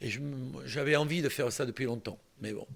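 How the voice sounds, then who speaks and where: A man talks at a fairly high pitch. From southern France, Toulon (Var). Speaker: singer. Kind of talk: interview. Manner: halting.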